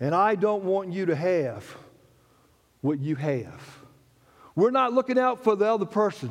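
With an animated tone, a man talks at a moderate pace in a high pitch that makes very wide swings. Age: 60s. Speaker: pastor. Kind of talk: sermon.

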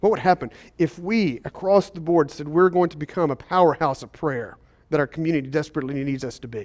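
Against a quiet background, a man talks at a very fast pace with a fairly high pitch, ordinary pitch variation and big swings in loudness. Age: 40s. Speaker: pastor. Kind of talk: sermon. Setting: church service in a school.

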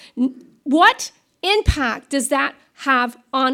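A woman speaks in a raised, projected voice with a high pitch and a bright, sharp tone, at a very slow pace. The recording is very clean, with a silent background. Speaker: pastor. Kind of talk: sermon. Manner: loud.

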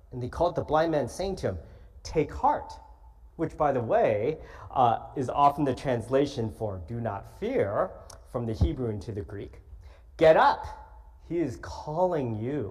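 In a room with audible echo, a man talks fairly slowly with long, frequent pauses. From California, Los Angeles. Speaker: guest preacher. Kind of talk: sermon. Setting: church.

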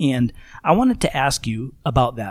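The recording is very clean, with a silent background. A man speaks at a medium pitch and moderate pace in a normal speaking voice. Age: 30s. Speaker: podcast host. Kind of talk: casual chat.

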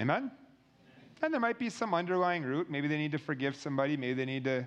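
A man is speaking. His pace is very fast. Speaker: preacher leading a healing meeting. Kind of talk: sermon and testimony session. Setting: church gathering with audience.

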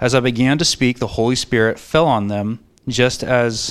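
A man with an ordinary speaking voice on a very clean recording against a silent background. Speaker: scripture reader. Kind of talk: reading aloud. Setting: church.

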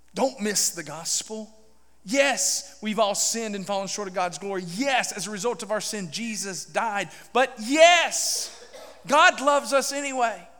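A man with a high pitch uses a raised, projected voice at a fairly slow pace. His intonation is lively, with big swings in loudness. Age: 40s. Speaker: pastor. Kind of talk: sermon. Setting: church.

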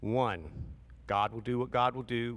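A man's medium-pitched voice with vocal fry, at a fairly slow pace. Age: 50s. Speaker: pastor. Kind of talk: sermon. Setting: church. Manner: animated.

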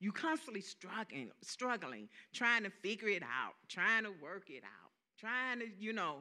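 Speaking at a fairly slow pace, a woman with an American accent and a medium pitch has a bright, sharp tone, vocal fry, very wide pitch swings and big swings in loudness. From US South. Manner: animated.

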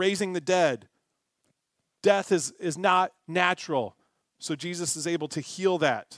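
A man's high-pitched voice at a fairly slow pace with ordinary pitch variation, in a dry, close sound with no echo and a very clean recording with a silent background. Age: 40s. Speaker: pastor. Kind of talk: sermon.

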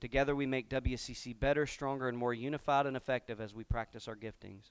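On a very clean recording with a silent background, a man talks at a fairly quick pace. His intonation is monotone and flat, and the sound is dry and close with no echo. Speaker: pastor. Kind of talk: sermon. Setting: church.

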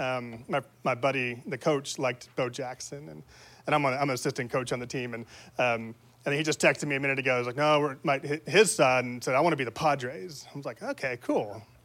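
This man talks at a fairly quick pace, his pitch medium and its variation ordinary. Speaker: preacher. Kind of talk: sermon. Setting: church. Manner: fast talker; excitable.

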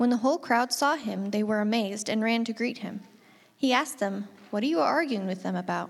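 An ordinary speaking voice from a woman, fairly high in pitch, at a fairly quick pace with ordinary pitch variation. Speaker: scripture reader. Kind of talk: scripture reading aloud.

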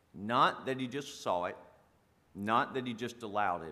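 With a South Carolina accent, a man speaks at a moderate pace with lively intonation. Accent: Southern US (South Carolina). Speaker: pastor and firefighter. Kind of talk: sermon. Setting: church.

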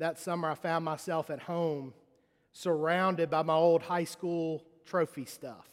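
A man with a Mississippi accent speaks at a fairly slow pace and a high pitch. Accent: US Southern (Mississippi). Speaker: pastor. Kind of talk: sermon. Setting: church. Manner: animated.

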